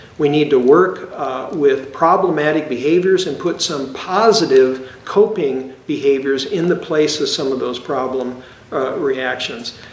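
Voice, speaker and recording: Amid noticeable background noise and audible room echo, a man talks at a fairly slow pace in a fairly high pitch. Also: ordinary pitch variation, hardly any pauses. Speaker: psychologist. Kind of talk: educational lecture. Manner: hesitant, frequent fillers and repetitions.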